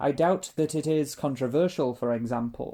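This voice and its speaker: A dark, mellow tone comes through at a moderate pace with fairly even intonation. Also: man. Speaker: audiobook reader. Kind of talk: reading aloud. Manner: halting.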